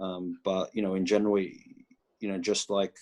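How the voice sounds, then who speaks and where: Against a silent background in a very clean recording, a man with an Australian accent speaks at a very deep, low pitch in monotone, flat intonation. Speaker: college soccer head coach. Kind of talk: interview. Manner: halting, many fillers.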